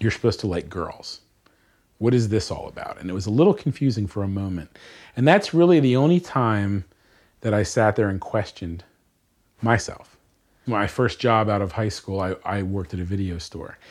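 With an American accent and lively intonation, a man speaks at a moderate pace in a fairly low pitch, leaving long, frequent pauses, on a very clean recording with a silent background. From Bucks County, Pennsylvania. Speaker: gun rights advocate. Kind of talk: personal dialogue.

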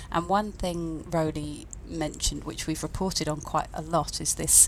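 A woman speaks at a moderate pace while noticeable background noise carries on around her. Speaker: news editor. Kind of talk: casual news discussion.

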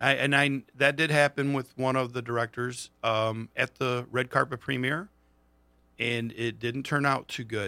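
A man with an unremarkable speaking voice at medium pitch, fairly slow and fairly even, in a dry, close sound with no echo. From Monroe, US. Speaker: actor in a film. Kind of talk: casual interview chat.

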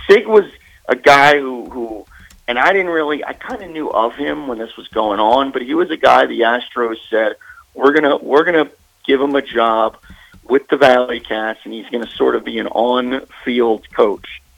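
A man with an American accent in an ordinary speaking voice, medium-pitched, with ordinary pitch variation, big swings in loudness and a moderate pace. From Maryland. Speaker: sports broadcaster. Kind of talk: interview. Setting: phone call.

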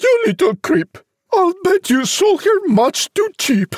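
In a put-on character voice, a woman speaks slowly at an extremely high pitch with big pitch swings and a slightly mellow tone, the sound dry and close with no echo.

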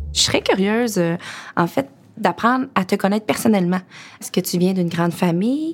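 Lively intonation at a fairly quick pace, broken by long, frequent pauses. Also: woman, medium pitch for a woman. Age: 30s. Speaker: project manager in excavation. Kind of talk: casual interview conversation.

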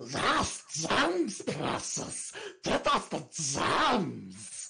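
A put-on character voice at a middle pitch moves along at a very slow pace. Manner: greedy, growling.

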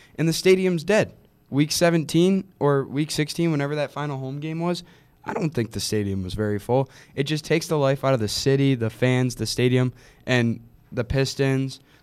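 This man has a normal speaking voice, fairly high in pitch with lively intonation. He talks at a moderate pace. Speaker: co-host, sports commentator. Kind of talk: casual sports chat.

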